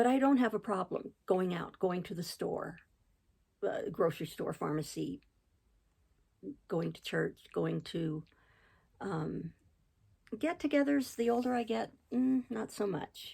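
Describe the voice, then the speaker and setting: A woman's medium-pitched, dark, mellow voice with vocal fry, very wide pitch swings, a fairly slow pace and long, frequent pauses. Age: 60s. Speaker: crochet channel host. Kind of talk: personal testimony. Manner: halting, many fillers and restarts.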